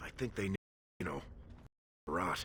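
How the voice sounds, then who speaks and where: This is a put-on character voice. It sounds raspy. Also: man. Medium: video game.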